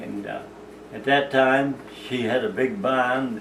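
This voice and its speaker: A man with a Maine accent talks at a fairly slow pace. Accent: rural Maine. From Maine, USA. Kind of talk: oral history reminiscence.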